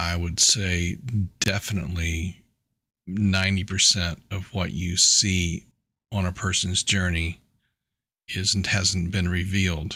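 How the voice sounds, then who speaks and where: A man's very deep, low voice with a bright, sharp tone, flat monotone delivery, a fairly slow pace and long, frequent pauses, on a very clean recording with a silent background. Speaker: business consultant. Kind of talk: interview. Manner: loud.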